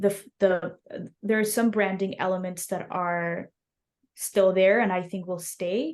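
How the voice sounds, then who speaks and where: Spoken at a fairly slow pace with a Spanish accent, the delivery keeps a fairly even intonation. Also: woman, medium pitch for a woman. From Mexico City. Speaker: snack company founder. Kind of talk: interview.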